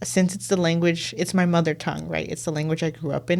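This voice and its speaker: Fairly even intonation in a woman's very deep, low-pitched voice. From San Francisco, US. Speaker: student editor. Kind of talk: interview. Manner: casual, filler-heavy.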